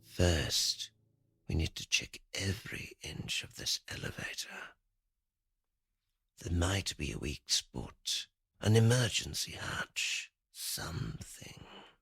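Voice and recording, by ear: Putting on a character voice, a man speaks slowly at low pitch with big pitch swings, vocal fry and a bright, sharp tone, on a very clean recording with a silent background.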